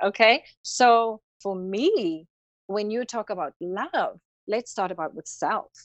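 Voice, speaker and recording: Someone speaks very slowly in a South African accent, with lively intonation and big swings in loudness. The background is quiet. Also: woman, fairly high pitch for a woman, dry, close sound with no echo. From South Africa, Cape Town. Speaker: holistic healing practitioner and yoga instructor. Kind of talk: interview conversation. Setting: podcast.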